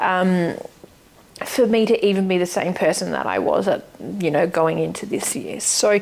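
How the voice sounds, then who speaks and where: A woman talks at a moderate speed as noticeable background noise carries on behind her. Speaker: lifestyle vlogger. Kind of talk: casual monologue.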